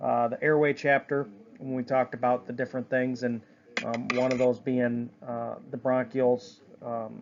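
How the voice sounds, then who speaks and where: Noticeable background noise sits under a man's medium-pitched voice. He speaks at a moderate pace in a monotone, flat way. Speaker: EMT instructor. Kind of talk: lecture. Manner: hesitant, many fillers.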